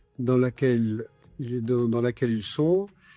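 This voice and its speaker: A man speaks at a very slow pace with ordinary pitch variation. The sound is dry and close with no echo, and music plays in the background. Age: 70s. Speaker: patient association president. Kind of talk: interview testimony. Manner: hesitant, many fillers.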